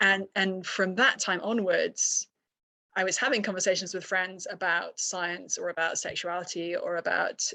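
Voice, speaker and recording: In a British accent, a woman speaks at medium pitch with a bright, sharp tone and monotone, flat intonation, recorded dry and close with no echo against a quiet background. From UK. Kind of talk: podcast interview.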